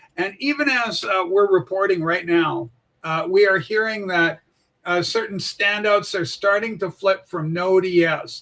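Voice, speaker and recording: A man speaks in a raised, projected voice with a high pitch and a bright, sharp tone. His intonation stays fairly even. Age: 60s. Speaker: political livestream host. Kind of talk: casual political commentary livestream.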